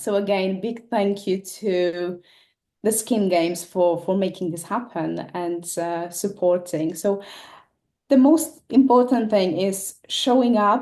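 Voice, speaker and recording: A woman with a non-native accent speaks very slowly in a dark, mellow tone with ordinary pitch variation. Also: medium pitch for a woman. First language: not English. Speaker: esthetician, competition winner. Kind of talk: casual chat. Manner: halting, many fillers.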